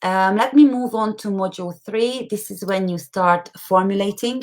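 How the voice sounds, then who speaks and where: With an ordinary speaking voice, a woman talks at a moderate pace, her pitch fairly high and its variation ordinary. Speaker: online course tutor. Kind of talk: live webinar platform walkthrough. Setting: live stream with screen share.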